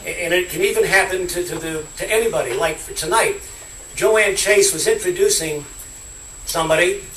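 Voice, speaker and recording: Someone speaks at a moderate pace with noticeable background noise and audible room echo. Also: man. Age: 60s. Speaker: politician. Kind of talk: political speech.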